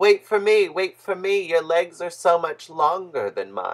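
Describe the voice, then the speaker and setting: A croaky, put-on character voice at a middle pitch moves along at a moderate pace. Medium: read story.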